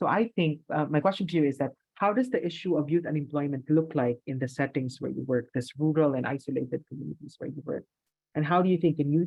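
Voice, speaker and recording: A man speaks very fast in a fairly high, somewhat breathy voice with ordinary pitch variation. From Philippines. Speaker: academic researcher and panel moderator. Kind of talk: webinar panel moderation.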